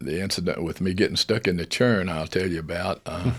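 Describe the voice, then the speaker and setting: A man with a Mississippi accent talks at a moderate pace. His very deep, low voice has vocal fry. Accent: Southern US (Mississippi). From US South, northern Mississippi (Benton County). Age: 80s+. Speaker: air force veteran. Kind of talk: casual interview, personal storytelling. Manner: talkative.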